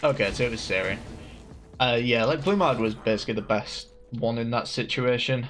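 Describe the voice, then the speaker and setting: With music in the background, a man with a strong Hull accent speaks at a medium pitch and a fairly quick pace, his pitch varying in an ordinary way. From northern England, Hull. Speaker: card game streamer. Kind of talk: gameplay commentary. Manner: casual, filler-heavy.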